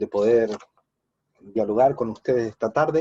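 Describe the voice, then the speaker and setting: A man speaks with a Paraguayan accent and ordinary pitch variation. The sound is dry and close, with no echo. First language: Guarani (speaking Spanish). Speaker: philosophy professor. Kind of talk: academic talk.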